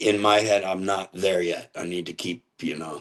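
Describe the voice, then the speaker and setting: A man speaks at a fairly slow pace in a fairly low voice, his intonation flat and monotone. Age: 60s. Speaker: metal band singer. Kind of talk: interview.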